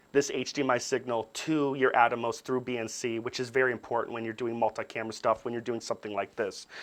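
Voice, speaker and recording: A man talks at a fairly quick pace with hardly any pauses. His pitch is medium, and it is a plain, everyday voice. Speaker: camera workshop instructor. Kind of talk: tutorial.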